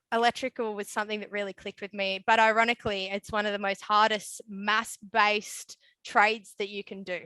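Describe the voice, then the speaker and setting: In an Australian accent, a woman speaks at a medium pitch with monotone, flat intonation, a bright, sharp tone, big swings in loudness and hardly any pauses, in a dry, close sound with no echo over a quiet background. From Australia, Newcastle area NSW. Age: 20s. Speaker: electrician. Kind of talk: webinar interview. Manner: casual with many fillers.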